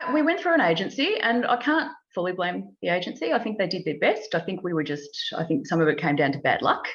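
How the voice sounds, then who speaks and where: With an Australian accent, a woman with medium pitch speaks with lively intonation and vocal fry. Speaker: property investor and home renovator. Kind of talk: interview. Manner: halting speech after stroke.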